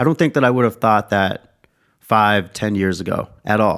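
A man with an American accent talks at a moderate pace and fairly low pitch. It is a plain, everyday voice with ordinary pitch variation. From US Southwest, Tucson, Arizona. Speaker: podcast host and sports dietitian. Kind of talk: casual chat.

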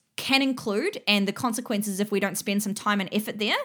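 In an Australian accent, a woman speaks with ordinary pitch variation on a very clean recording with a silent background. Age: 30s. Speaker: fitness business mentor and podcast host. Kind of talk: solo educational monologue. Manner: casual, with filler words.

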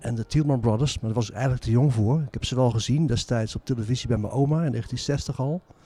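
This man talks at a fairly quick pace with a dark, mellow tone. His pitch varies in an ordinary way. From Zaanstreek, North Holland, Netherlands. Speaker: author and music historian. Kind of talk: interview. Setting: former church, community centre.

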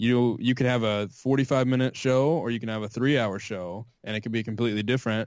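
An unremarkable speaking voice with an American accent moves at a fairly quick pace, fairly even in intonation and with hardly any pauses. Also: man, medium pitch for a man. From US South. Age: 20s. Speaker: podcast host and former sports journalist. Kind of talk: casual interview. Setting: Skype call.

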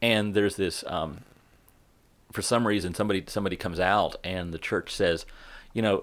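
An ordinary speaking voice from a man with an American accent moves at a fairly quick pace, fairly low in pitch with fairly even intonation, on a very clean recording with a silent background. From Central West Virginia. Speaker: pastor. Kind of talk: casual interview conversation.

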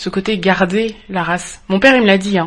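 This is a woman speaking at a moderate pace in a medium pitch. It is a normal speaking voice. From France. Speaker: podcast co-host. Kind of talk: casual interview.

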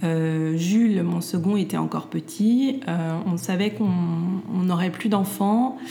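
Noticeable background noise sits behind a woman's medium-pitched voice. She speaks at a very slow pace with ordinary pitch variation. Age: 40s. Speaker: entrepreneur and mother. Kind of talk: interview. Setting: at her home. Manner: halting, many fillers and repeats.

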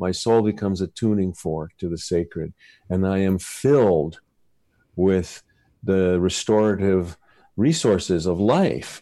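Against a quiet background, a man talks at a fairly slow pace in a very deep, low voice with a dark, mellow tone and ordinary pitch variation. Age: 60s. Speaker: poet and author. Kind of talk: interview and poetry reading.

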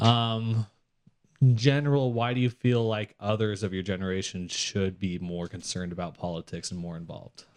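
A man with a plain, everyday voice, fairly low pitch and ordinary pitch variation, at a moderate pace with big swings in loudness. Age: 20s. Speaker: podcast host for political advocacy group. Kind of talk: casual chat.

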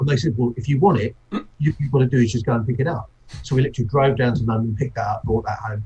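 A very fast, somewhat breathy man's voice with a dark, mellow tone, medium pitch and ordinary pitch variation. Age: 50s. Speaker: brewery owner. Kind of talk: interview.

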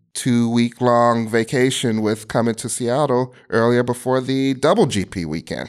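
On a very clean recording with a silent background, a man talks at a moderate pace and medium pitch in a plain, everyday voice. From US Midwest, Chicago. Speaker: game streaming director. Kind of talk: interview.

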